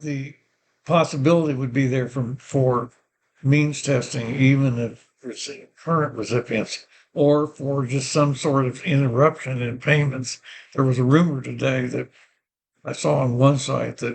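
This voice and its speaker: At a fairly slow pace, a man with a medium pitch talks in a somewhat breathy voice with fairly even intonation. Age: 80s+. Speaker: vlogger. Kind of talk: personal vlog monologue. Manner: halting.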